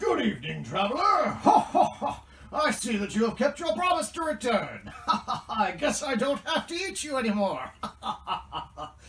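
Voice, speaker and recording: A put-on character voice, growling and menacing in tone, at a fairly high pitch with very wide pitch swings, moderate pace and hardly any pauses, over light background noise. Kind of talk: comic puppet overacting. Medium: puppet show. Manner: menacing bluster with booming laughs.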